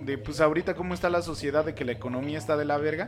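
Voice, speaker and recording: Lively intonation over music in the background. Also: man. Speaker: podcast host. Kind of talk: casual chat.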